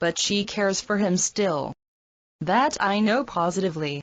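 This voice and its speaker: A woman uses a put-on character voice at a medium pitch and moderate pace. Her intonation is lively and her loudness very even. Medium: read story. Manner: dry, wry.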